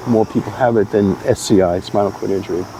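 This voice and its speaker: At a moderate pace, a man talks with noticeable background noise behind him. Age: 70s. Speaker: cannabis patient interviewed on radio. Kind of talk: interview. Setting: community center.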